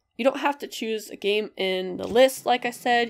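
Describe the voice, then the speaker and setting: With music playing in the background, a woman speaks with ordinary pitch variation. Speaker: gaming youtuber. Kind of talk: casual video commentary.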